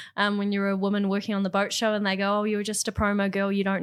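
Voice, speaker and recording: With a New Zealand accent, a woman speaks very fast at a medium pitch in a monotone, flat intonation. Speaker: marine marketing executive. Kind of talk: interview.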